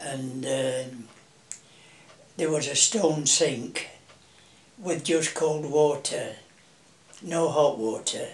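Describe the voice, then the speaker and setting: A man with a Yorkshire accent and a fairly high pitch speaks at a very slow pace, leaving long, frequent pauses. Noticeable background noise and audible room echo fill the recording. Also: ordinary pitch variation. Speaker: family elder being interviewed. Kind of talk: oral history interview. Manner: hesitant, with many fillers.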